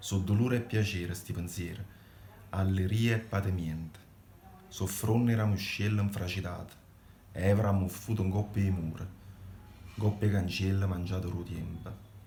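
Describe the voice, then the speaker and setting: A man's fairly low voice at a moderate pace, with monotone, flat intonation and long, frequent pauses. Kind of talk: poetry reading.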